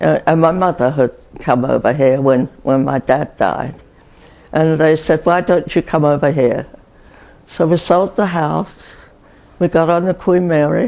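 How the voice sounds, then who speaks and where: In an English accent, a woman with a very deep, low pitch and a dark, mellow tone speaks at a fairly slow pace, with ordinary pitch variation, very even loudness, and long, frequent pauses. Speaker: retirement community resident, WWII civil servant. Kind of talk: oral history interview answer.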